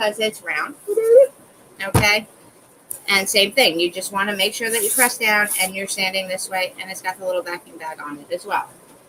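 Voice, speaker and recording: The speech moves at a moderate speed, and its pitch shifts in an ordinary way. Noticeable noise is present behind it. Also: woman. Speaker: crafts livestreamer. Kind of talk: tutorial. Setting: live stream from home. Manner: casual, chatty.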